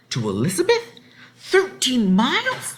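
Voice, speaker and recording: This man does a gruff, put-on character voice at a fairly slow pace. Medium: read story. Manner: gruff, suspicious.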